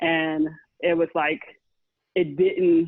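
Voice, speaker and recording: A woman with a fairly low pitch has an unremarkable speaking voice. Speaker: friend responding to the story. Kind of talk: personal testimony.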